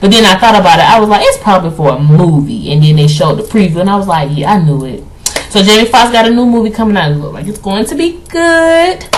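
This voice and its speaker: Loud and animated, a woman at a medium pitch races along at a very fast pace with very wide pitch swings, amid noticeable background noise and audible room echo. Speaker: vlogger. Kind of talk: casual commentary.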